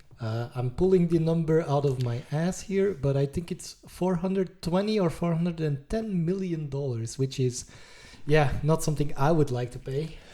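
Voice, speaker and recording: At a moderate pace, a man with a non-native accent speaks in a dark, mellow tone, his fairly high pitch showing ordinary variation. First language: not English. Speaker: IT podcast co-host. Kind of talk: casual chat.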